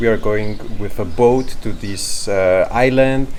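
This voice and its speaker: Over noticeable background noise and audible room echo, a man speaks very slowly with ordinary pitch variation. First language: not English. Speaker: travel vlogger. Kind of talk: vlog talk to camera. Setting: outdoors at a harbor.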